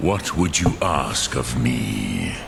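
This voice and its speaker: A man puts on a character voice with a very deep, low pitch. Background noise is clearly heard. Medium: video game. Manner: slow, solemn, measured.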